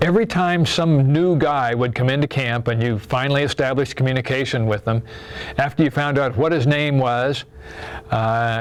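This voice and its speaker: Against noticeable background noise, a man with an American accent speaks at a fairly quick pace in a medium pitch, with ordinary pitch variation and very even loudness. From US Midwest, Iowa. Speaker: war veteran. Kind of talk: testimony.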